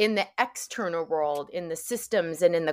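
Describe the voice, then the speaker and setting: Speaking at a moderate pace, a woman with an American accent has an ordinary speaking voice pitched fairly low, with ordinary pitch variation. The recording is very clean, with a silent background. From New York area, US. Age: 40s. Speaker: author and wellness activist. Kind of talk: casual interview conversation.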